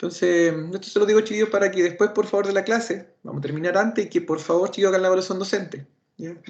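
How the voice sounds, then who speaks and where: Speaking very fast with a Chilean accent, the man has a high voice. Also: fairly even intonation. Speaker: automotive instructor. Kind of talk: lecture.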